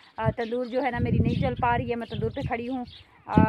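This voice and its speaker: Noticeable background noise sits behind the speaker. She is a woman talking at a moderate pace. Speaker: vlogger, housewife. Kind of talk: casual vlog talk to viewers. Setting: outdoors at tandoor oven, village home. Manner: hesitant, many fillers.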